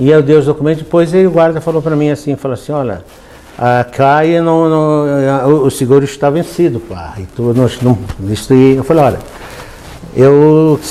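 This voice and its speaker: A man talks at a fairly high pitch with ordinary pitch variation. His long, frequent pauses come through noticeable background noise. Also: moderate pace. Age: 70s. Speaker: pastor. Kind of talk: sermon. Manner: animated storytelling.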